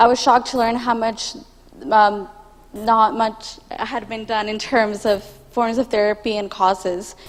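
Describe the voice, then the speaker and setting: A woman with a fairly high voice talks fairly slowly and with fairly flat intonation while background noise is clearly present. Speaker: student. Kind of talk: elevator pitch presentation.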